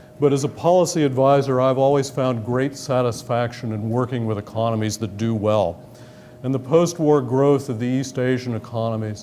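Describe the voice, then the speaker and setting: Someone speaks with an American accent at a fairly quick pace and ordinary pitch variation, with noticeable background noise and audible room echo. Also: man. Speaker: government economic official. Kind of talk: lecture. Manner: formal.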